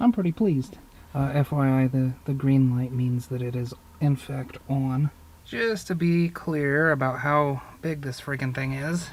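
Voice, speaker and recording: A somewhat breathy man talks at a fairly slow pace. His pitch is fairly high. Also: ordinary pitch variation. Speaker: DIY truck restoration YouTuber. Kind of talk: casual workshop tutorial. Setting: inside a truck.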